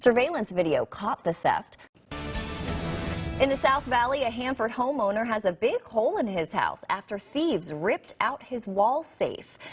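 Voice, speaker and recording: A woman speaks at a moderate pace in a high voice that swings very widely in pitch, with music playing behind her. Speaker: broadcast meteorologist. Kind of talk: TV news anchor read.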